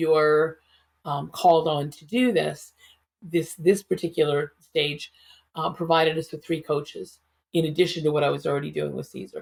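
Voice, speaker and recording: A woman's voice sits very deep and low, with normal rise and fall in pitch, delivered at a moderate speed. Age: 60s. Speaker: psychotherapist and speaker. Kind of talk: interview, personal story.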